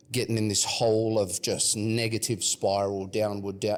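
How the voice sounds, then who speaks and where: Moderately paced speech with an Australian accent. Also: man, very clean recording, silent background. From Western Australia (Perth). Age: 30s. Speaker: rapper. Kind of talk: casual chat.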